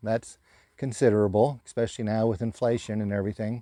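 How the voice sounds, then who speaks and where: Against a quiet background, a man with a dark, mellow tone talks at a fairly quick pace in a dry, close sound with no echo. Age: 60s. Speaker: camping vlogger and tradesman. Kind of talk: casual vlog monologue. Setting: outdoors at a campsite.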